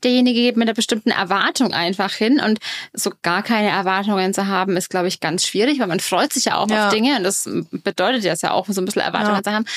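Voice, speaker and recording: A woman talks very fast with ordinary pitch variation and very even loudness, the sound dry and close with no echo. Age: 40s. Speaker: dating expert. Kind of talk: casual chat.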